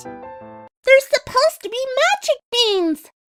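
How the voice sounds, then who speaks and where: In a put-on character voice, a squeaky, female-sounding speaker goes at a fairly slow pace with extremely high pitch and very wide pitch swings, faint music playing in the background. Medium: audio drama. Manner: excitable, bouncy.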